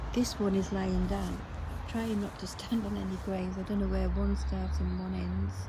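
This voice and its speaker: With hardly any pauses, a soft-spoken woman talks at a moderate pace in a very deep, low pitch with very wide pitch swings, amid audible room echo and noticeable background noise. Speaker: graveyard vlogger. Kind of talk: walking vlog narration. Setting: outdoors in a cemetery.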